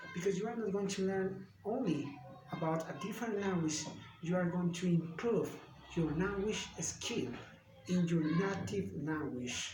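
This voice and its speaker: A man with a Spanish accent talks fairly slowly in a high pitch with ordinary pitch variation, amid noticeable background noise and audible room echo. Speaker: language student. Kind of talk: video monologue. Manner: halting.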